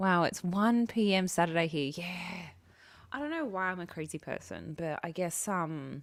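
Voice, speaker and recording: With an Australian accent and a fairly low voice, a woman speaks at a moderate pace on a very clean recording with a silent background. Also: ordinary pitch variation. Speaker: livestreamer. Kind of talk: casual chat with live chat viewers. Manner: loud.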